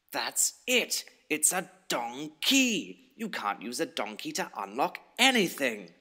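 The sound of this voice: A man's put-on character voice, fairly high in pitch, bright and sharp in tone, with very wide pitch swings and a slow pace.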